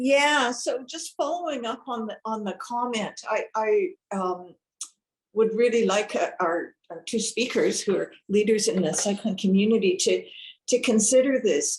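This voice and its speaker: A woman with a plain, everyday voice speaks at a fairly slow pace. Her pitch is fairly high and her intonation is lively. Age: 60s. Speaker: webinar attendee. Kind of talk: audience question.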